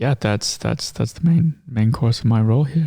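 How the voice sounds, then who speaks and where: A man with an American accent at a moderate pace, somewhat breathy, with a dark, mellow tone. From US Midwest, Iowa. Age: 20s. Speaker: filmmaker and social media manager. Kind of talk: casual interview chat.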